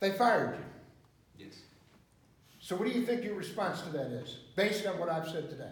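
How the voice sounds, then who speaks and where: With an American accent, a man speaks at a fairly quick pace in a high pitch, with lively intonation, big swings in loudness, long, frequent pauses and audible room echo. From US Midwest, northern Illinois (Chicago area). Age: 60s. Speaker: pastor. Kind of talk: sermon. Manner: animated.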